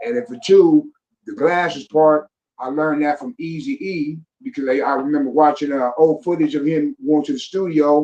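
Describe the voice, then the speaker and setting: At a moderate pace and with ordinary pitch variation, a man uses an ordinary speaking voice pitched fairly high. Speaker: rapper. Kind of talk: podcast conversation. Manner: casual, laid-back.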